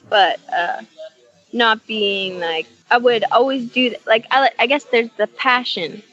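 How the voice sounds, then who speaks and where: Music plays in the background as a woman talks at a fairly slow pace. Her voice is fairly high in pitch, with lively intonation. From British Columbia, Canada. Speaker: soul singer and songwriter. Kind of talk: podcast interview answer. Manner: casual, hesitant.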